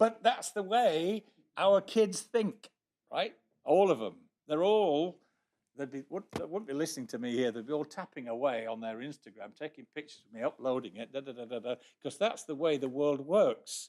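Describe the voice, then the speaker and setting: This man's fairly high voice has a dark, mellow tone and very wide pitch swings. His loudness swings widely too, at a moderate pace. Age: 60s. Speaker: astronomy society section speaker. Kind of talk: presentation to a society meeting. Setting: meeting room with live audience.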